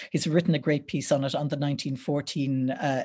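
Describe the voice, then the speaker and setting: The voice has a dark, mellow tone with an Irish accent. Its pitch varies in an ordinary way. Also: woman. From Ireland, County Wexford. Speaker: history lecturer. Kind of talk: lecture. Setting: video call. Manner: hesitant with many fillers.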